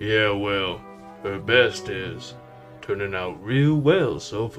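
Clear music plays in the background as a man uses a put-on character voice. He speaks very slowly at a fairly low pitch. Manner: gruff, sarcastic.

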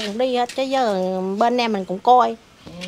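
Light background noise sits behind a woman speaking at a moderate pace. Her pitch is fairly high and her intonation fairly even. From Vietnam. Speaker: mother of ill son, street vendor; interviewee, street vendor mother. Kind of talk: personal testimony. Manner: halting. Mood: earnest, recounting hardship. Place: garden. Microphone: handheld.

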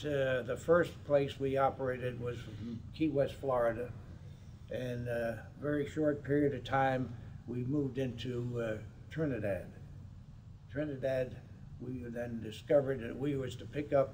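Light background noise sits behind a somewhat breathy man. He talks at a fairly slow pace with fairly even intonation. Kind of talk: interview answer. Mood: calm reminiscing.

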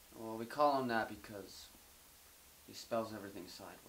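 A drawling man with big swings in loudness, ordinary pitch variation and light background noise. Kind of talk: scripted dialogue, casual. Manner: slow, drowsy, stoned drawl. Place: home room.

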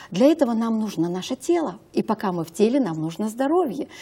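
The voice is somewhat breathy with a dark, mellow tone, moving at a moderate pace through very wide pitch swings. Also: woman. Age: 50s. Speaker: health consultant; talk show guest. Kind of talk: talk show interview. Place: studio. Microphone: lapel.

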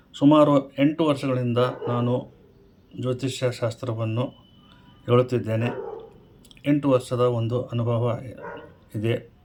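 Background noise is noticeable behind a man at medium pitch. His intonation is monotone and flat. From Koppal, north Karnataka, India. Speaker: astrologer and numerologist. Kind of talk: advice monologue to camera. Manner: formal.

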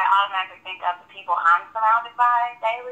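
A woman has a normal speaking voice, pitched fairly high. She keeps a fairly quick pace with ordinary pitch variation. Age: 20s. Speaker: college student. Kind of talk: casual interview.

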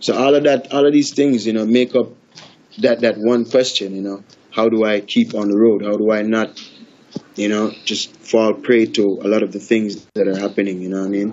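Talking at a moderate pace, a man with a Jamaican accent keeps his intonation fairly even. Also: fairly low pitch for a man. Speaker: reggae artist. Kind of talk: interview. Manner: halting, repeats words.

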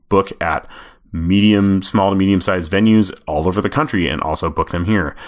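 A Midwestern US accent at a moderate pace. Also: man. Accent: US Midwest. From Nebraska, Omaha. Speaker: podcast host, music journalist. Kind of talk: solo podcast monologue answering listener questions.

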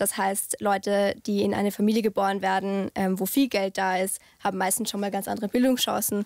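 A woman talks at a moderate pace in a monotone, flat delivery. The sound is dry with no echo, over a quiet background. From Austria, Vorarlberg (Bregenz); Vorarlberg, Austria. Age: 20s. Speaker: youth politician; young politician guest. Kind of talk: discussion; interview answer. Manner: hesitant with many fillers. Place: hall. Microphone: studio mic.

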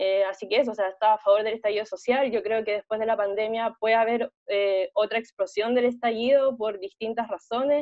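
A woman's normal speaking voice, fairly high in pitch with fairly even intonation, at a fairly quick pace against a quiet background. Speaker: student election candidate; election candidate. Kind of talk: debate. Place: home room. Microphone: earbuds.

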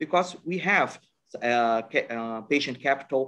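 Speaking fairly slowly, the man has a Portuguese accent. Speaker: asset manager. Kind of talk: panel discussion. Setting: video call.

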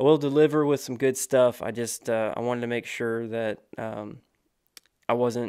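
A man speaks with fairly even intonation. The background stays quiet. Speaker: podcast host. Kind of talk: casual podcast monologue. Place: studio. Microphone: studio mic.

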